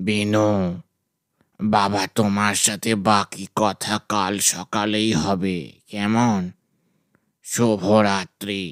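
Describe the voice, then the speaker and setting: Using a put-on character voice, a man speaks very slowly at a fairly low pitch with fairly even intonation, on a very clean recording with a silent background and a dry, close sound with no echo. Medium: audio drama. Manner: affectionate, fatherly.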